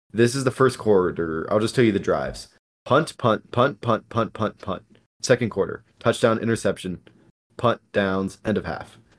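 The man has an unremarkable speaking voice, medium in pitch with ordinary variation, at a moderate pace. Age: 20s. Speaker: sports podcast co-host. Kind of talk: casual chat.

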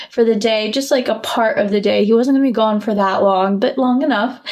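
A woman's speech carries ordinary pitch variation while noticeable background noise runs underneath. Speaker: podcast co-host. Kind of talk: casual chat. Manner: animated.

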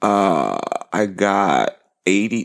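This man speaks with vocal fry. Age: 30s. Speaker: podcast co-host, basketball coach for kids. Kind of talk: casual chat.

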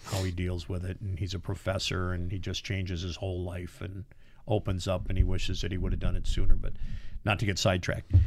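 Somewhat breathy speech with an American accent and monotone, flat intonation. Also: man. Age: 60s. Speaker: podcast co-host. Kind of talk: casual chat. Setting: studio. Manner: hesitant, many fillers.

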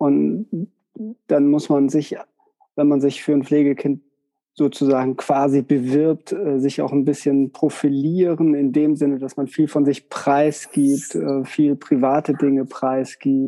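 Speaking very slowly, a man uses a fairly high pitch and fairly even intonation. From northern Germany (Westerkappeln). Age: 40s. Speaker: psychotherapist. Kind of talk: interview.

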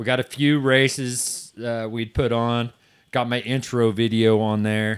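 A man with an American accent talks at a very slow pace with fairly even intonation. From southwest Missouri, US. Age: 40s. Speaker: drag racer and race organizer. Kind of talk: casual chat. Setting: studio.

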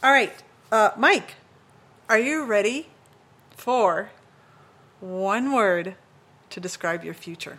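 A woman with a fairly high voice talks very slowly, leaving long, frequent pauses, her intonation lively and her loudness swinging widely. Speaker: podcast host. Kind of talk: podcast interview.

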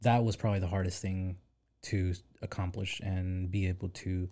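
With an American accent, a man speaks at a very deep, low pitch in a somewhat breathy, dark, mellow tone, with monotone, flat intonation, a moderate pace and long, frequent pauses. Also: very clean recording, silent background. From US South, Arkansas (Pine Bluff). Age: 20s. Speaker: photographer. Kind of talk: casual chat.

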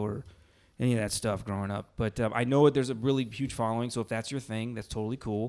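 Speaking very fast in a flat monotone, a man with a medium pitch comes through on a very clean recording with a silent background. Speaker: podcast host. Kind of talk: casual chat. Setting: recording in an Airbnb room.

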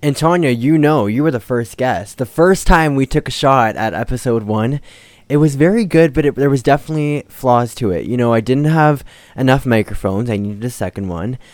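In a very clean recording with a silent background, a man with a plain, everyday voice talks at a fairly quick pace and a medium pitch, with lively intonation. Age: young. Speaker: podcast host. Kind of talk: casual chat. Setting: home studio.

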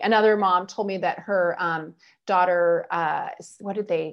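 A woman's voice, set in a quiet background, proceeds at a moderate pace. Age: 50s. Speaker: sex educator. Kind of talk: interview. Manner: lively, down-to-earth.

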